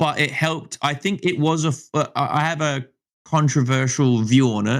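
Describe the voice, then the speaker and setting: On a very clean recording with a silent background, a man speaks at a fairly high pitch with ordinary pitch variation. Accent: Australian. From Australia. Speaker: gaming content creator and streamer. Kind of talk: casual chat. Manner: halting, many repeated words.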